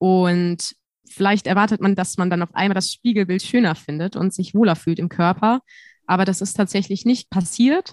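Against a quiet background, a woman with a normal speaking voice talks at a moderate pace, medium pitch and fairly even intonation, the sound dry and close with no echo. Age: 20s. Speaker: student teacher and podcaster. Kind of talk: interview.

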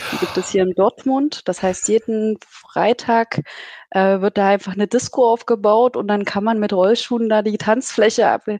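A woman with a fairly high voice and a dark, mellow tone talks at a moderate pace. The sound is dry and close, with no echo. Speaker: data analytics team lead. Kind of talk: casual interview chat. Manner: animated, chatty, laughs often.

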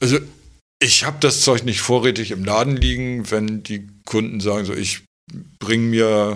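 A man talks at a fairly slow pace with a fairly low pitch and fairly even intonation. The recording is very clean, with a silent background. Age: 50s. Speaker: tattoo artist. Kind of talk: casual interview. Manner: calm, quiet.

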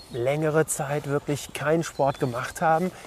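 Noticeable noise sits in the background. Against it, a man talks in a fairly high register. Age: 50s. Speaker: podcast host. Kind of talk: casual interview. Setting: outdoors, walking. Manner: hesitant, many fillers.

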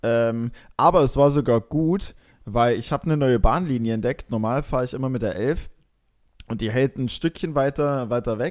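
A very clean recording with a silent background, the pitch varying in an ordinary way. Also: man, medium pitch for a man. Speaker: podcast host. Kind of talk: casual chat. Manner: hesitant, many fillers.

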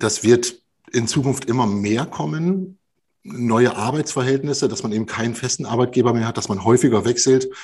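Somewhat breathy, a man talks at a moderate pace in a medium pitch with ordinary pitch variation. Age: 40s. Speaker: leadership trainer and coach. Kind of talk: podcast interview.

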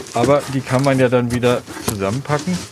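A man at medium pitch, with noticeable background noise around him. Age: 60s. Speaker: shop owner. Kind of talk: on-site interview. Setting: in his shop.

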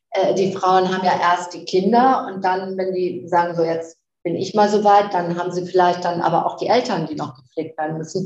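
A woman talks at a moderate pace with medium pitch and fairly even intonation. It is a plain, everyday voice. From northern Germany (Flensburg). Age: 50s. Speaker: fashion company chief executive. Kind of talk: interview.

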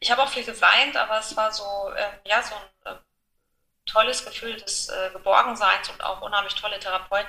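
A woman talks at a fairly quick pace with fairly high pitch and fairly even intonation. Long, frequent pauses break up her speech. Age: 40s. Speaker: widow sharing her grief story. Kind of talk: personal testimony in interview. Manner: hesitant, many fillers.

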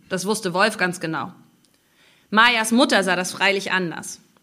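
In a bright, sharp tone, a woman talks at a moderate pace and a medium pitch with ordinary pitch variation. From Mecklenburg Baltic coast, Rostock. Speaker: novelist and journalist. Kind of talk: author reading with interview. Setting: live reading event with audience.

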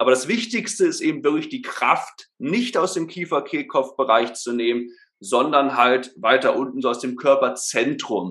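At a fairly slow pace, a man speaks with a fairly high pitch and lively intonation. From Germany, Berlin. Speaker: voice and speech trainer. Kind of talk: podcast interview, explaining. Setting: remote call at laptop.

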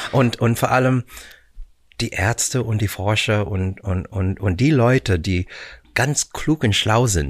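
The voice is somewhat breathy and unhurried, moving at a fairly slow pace. The recording is very clean, with a silent background. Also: man. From Canada, Vancouver. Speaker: musical performer. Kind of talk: casual chat. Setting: studio. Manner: halting.

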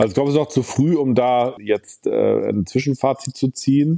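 The recording has a dry, close sound with no echo. A dark, mellow tone carries ordinary pitch variation. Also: man. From Hamburg, northern Germany. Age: 40s. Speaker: state finance minister, politician. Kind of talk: interview. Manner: hesitant fillers.

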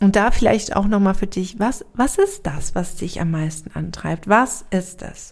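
A somewhat breathy woman at medium pitch, with ordinary pitch variation and hardly any pauses. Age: 30s. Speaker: podcast host and spiritual coach. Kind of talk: solo reflective monologue. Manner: hesitant with frequent fillers.

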